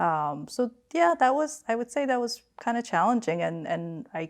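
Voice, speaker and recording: The speaker is a woman with a Korean accent. The background is quiet. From Queens, New York (from age 12; Seoul before). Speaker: finance executive. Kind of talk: family interview. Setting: remote video call.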